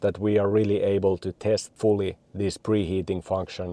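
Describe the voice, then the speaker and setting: A man speaks at a moderate pace with a fairly low pitch and a dark, mellow tone. The sound is dry and close with no echo, against a quiet background. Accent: Finnish. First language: Finnish. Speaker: car video reviewer. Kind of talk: product review. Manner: casual with frequent fillers.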